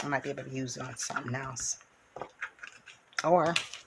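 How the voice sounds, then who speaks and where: A woman speaks at a moderate pace in a very deep, low voice with ordinary pitch variation, over noticeable background noise. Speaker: craft channel host. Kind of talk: craft tutorial. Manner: casual, chatty.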